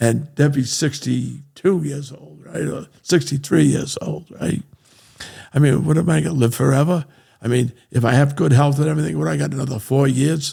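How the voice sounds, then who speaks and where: At a moderate pace, the voice has a dark, mellow tone, vocal fry and lively intonation. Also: man, fairly high pitch for a man. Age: 70s. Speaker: real estate entrepreneur. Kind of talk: interview conversation. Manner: repetitive, emphatic.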